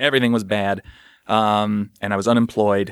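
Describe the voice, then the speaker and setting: Using a normal speaking voice, a man with an American accent speaks at a moderate pace with a fairly low pitch and fairly even intonation on a very clean recording with a silent background. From US Midwest, St. Louis area. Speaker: comedy writer and performer. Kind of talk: casual interview about mental health.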